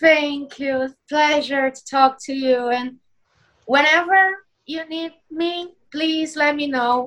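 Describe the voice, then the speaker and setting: A woman with a Portuguese accent, high in pitch, at a very slow pace with big swings in loudness. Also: fairly even intonation. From Brazil. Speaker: circus performer. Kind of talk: casual interview.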